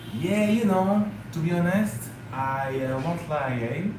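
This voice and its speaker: There is audible room echo and noticeable background noise as a man speaks with lively intonation. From France. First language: French. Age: 30s. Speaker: travel vlogger. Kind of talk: live stream chat. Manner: hesitant with fillers.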